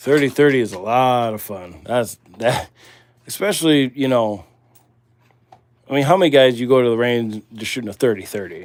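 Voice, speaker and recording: A man with a Midwestern US accent speaks at medium pitch and a moderate pace, with ordinary pitch variation and long, frequent pauses. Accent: Midwest US. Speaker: livestream host doing ammunition reloading. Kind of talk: casual live stream chat while working.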